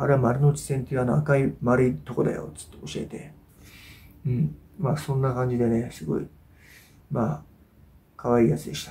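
A man of medium pitch speaks in a dark, mellow tone with vocal fry, very wide pitch swings, big swings in loudness and long, frequent pauses. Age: 40s. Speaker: YouTuber and amateur fighter; YouTuber. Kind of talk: casual monologue video update; casual vlog chat. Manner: hesitant, many filler sounds. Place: home room. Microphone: camera far.

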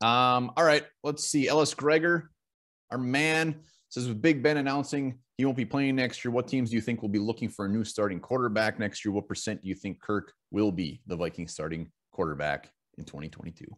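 Lively intonation marks a man's voice at a moderate pace. The background is quiet. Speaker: podcast host reading mailbag. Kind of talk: casual sports podcast chat. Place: home room.

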